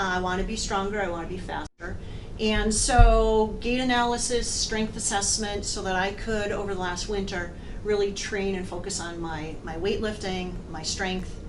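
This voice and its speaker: Moderately paced speech with fairly even intonation, audible room echo and noticeable background noise. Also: woman, medium pitch for a woman. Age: 60s. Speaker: amateur triathlete. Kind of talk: testimony.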